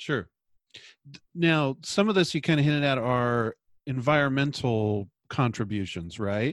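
Speaking at a fairly slow pace with lively intonation, a man has a normal speaking voice at medium pitch, recorded with a dry, close sound, no echo and a quiet background. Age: 40s. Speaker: chiropractor and podcast host. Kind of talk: interview; scripted introduction.

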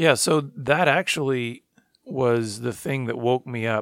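In an ordinary speaking voice, a man speaks at a medium pitch with ordinary pitch variation, in a dry, close sound with no echo. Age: 40s. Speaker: ministry founder and director. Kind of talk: interview testimony.

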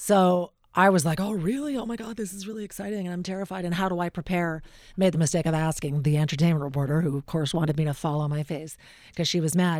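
A woman with a Canadian accent and a fairly low pitch speaks very fast with ordinary pitch variation, captured in a very clean recording with a silent background. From Alberta, Canada. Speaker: radio talk show host. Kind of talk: casual interview. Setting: studio.

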